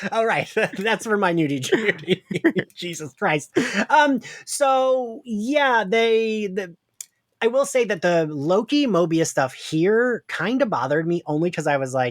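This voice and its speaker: On a very clean recording with a silent background, a man with a New Jersey accent speaks in an animated tone at a high pitch and a fairly slow pace, with very wide pitch swings. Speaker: podcast host. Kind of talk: casual chat.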